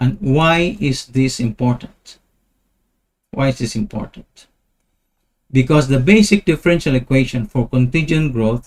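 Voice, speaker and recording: At a moderate pace, a man with a medium pitch speaks somewhat breathily with lively intonation. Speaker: talk show host. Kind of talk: explanatory monologue with charts. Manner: repetitive, emphatic.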